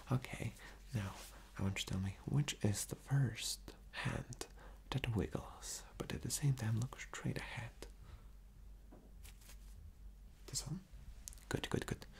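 A man whispers at a fairly slow pace. His speech has long, frequent pauses. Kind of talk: ASMR role-play, soft instructions. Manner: soft, hushed ASMR voice. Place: home room.

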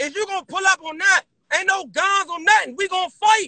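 Against a quiet background, a man projects a raised voice of extremely high pitch with a bright, sharp tone. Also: dry sound with no echo. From Maryland / DC area. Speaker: rapper in a feud; live streamer. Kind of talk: heated argument on livestream. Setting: outdoors, livestream. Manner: loud, aggressive. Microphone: phone near.

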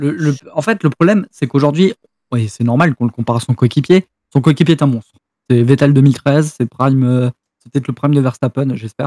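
A man speaks fairly quickly at a fairly high pitch, with ordinary pitch variation. His tone is dark and mellow, the sound dry with no echo over a quiet background. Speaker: F1 fan on stream call; streamer. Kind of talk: casual debate. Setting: voice chat. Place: home room.

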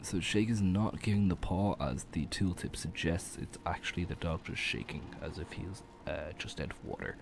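There is vocal fry in this man's very deep, low pitch. He keeps a moderate pace. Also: ordinary pitch variation. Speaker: gaming video creator. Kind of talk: casual gameplay commentary.

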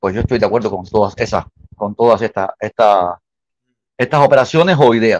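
Recorded dry with no echo over a quiet background, a man speaks at a moderate pace with ordinary pitch variation. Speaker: remote guest. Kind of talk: caller opinion. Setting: phone call. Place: home room. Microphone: video call.

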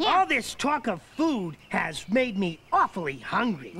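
A female-sounding voice puts on a cartoonish character voice at a fairly high pitch and a fairly slow pace. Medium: puppet show. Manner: cheerful, eager, chatty.

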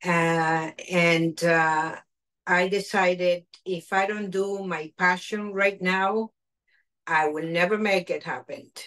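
A woman's voice in a Spanish accent at a very slow pace, with ordinary pitch variation, over a quiet background. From Argentina. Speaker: chef and caterer. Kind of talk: cooking demonstration. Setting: video call. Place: kitchen. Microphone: video call.

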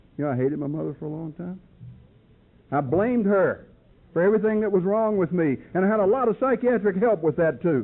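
In a Southern US accent, a man talks very fast in a high, animated voice with lively intonation. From North Carolina, US South. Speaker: recovery speaker. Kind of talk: testimony. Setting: stage with audience.

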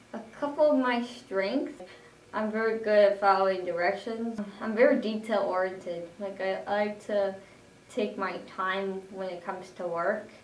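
Speaking at a fairly slow pace with fairly even intonation, a woman is heard over light background noise, with audible room echo. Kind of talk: self-introduction. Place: home room. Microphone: camera far.

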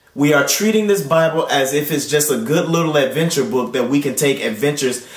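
A man speaks at a fairly quick pace in a fairly high pitch for a man, with audible room echo over a quiet background. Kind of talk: sermon delivery. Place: home room.

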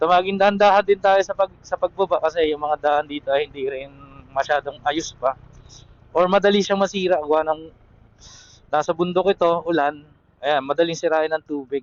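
A man at a fairly high pitch, moderate pace and fairly even intonation. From Quezon province, Philippines. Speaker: travel vlogger. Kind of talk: casual vlog narration while driving. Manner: casual, halting with fillers.

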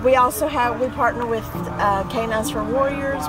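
A woman speaks over loud music in the background. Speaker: charity volunteer at a vendor booth. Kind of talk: interview answer. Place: street.

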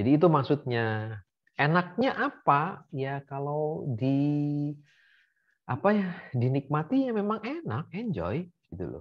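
Somewhat breathy and fairly high in pitch, a man speaks at a very slow pace with very wide pitch swings over a quiet background. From Indonesia, Bandar Lampung; Indonesia. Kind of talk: casual interview. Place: home room. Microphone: video call.

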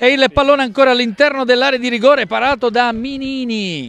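This man's voice sits at an extremely high pitch. Its tone is bright and sharp. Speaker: football commentator. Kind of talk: live sports commentary. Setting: stadium, outdoors in the rain. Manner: excitable, rising to shouts on goals.

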